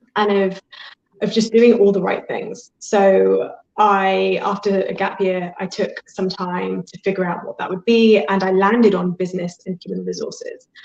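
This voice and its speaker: A woman speaks at a moderate pace with a British accent. Her loudness swings a lot. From Britain. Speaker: life and career coach. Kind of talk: interview. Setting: live video interview.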